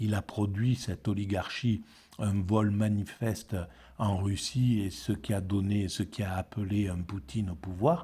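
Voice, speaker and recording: Speaking at a fairly slow pace, a man uses a dark, mellow tone that is somewhat breathy. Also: fairly low pitch for a man, ordinary pitch variation. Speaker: philosophy video blogger. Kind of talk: spoken commentary on a book. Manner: halting, many repetitions.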